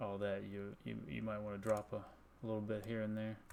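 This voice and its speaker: Soft-spoken, a man talks at a moderate pace with a fairly low pitch and monotone, flat intonation. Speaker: video game streamer. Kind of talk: casual chat. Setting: home at night, live stream.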